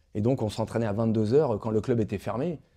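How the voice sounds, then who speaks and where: A man's dark, mellow voice at medium pitch, very fast, with ordinary pitch variation, against a quiet background. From France, Le Havre (Normandy). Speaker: former boxer and actor. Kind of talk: interview. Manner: halting, many fillers.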